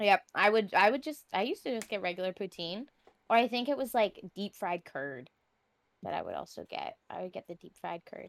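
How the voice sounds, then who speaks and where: Lively intonation and vocal fry mark this woman's medium-pitched voice. Her loudness swings widely, and the sound is dry and close with no echo. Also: fairly quick pace. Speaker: streamer. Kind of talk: casual chat.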